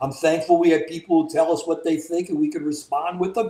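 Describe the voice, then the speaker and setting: A man with a Southern US accent talks at a fairly quick pace. His pitch is fairly high and his intonation fairly even. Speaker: political commentary show host. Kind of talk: casual chat.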